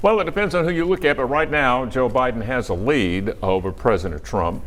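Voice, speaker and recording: A man's medium-pitched voice with vocal fry and very wide pitch swings, at a fairly quick pace. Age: 70s. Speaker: TV news anchor. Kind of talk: live election coverage. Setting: TV studio.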